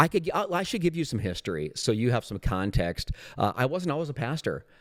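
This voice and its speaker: On a very clean recording with a silent background, a man talks very fast at a fairly high pitch, with very wide pitch swings and vocal fry. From South Dakota, small town. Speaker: pastor. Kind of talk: casual chat. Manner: animated.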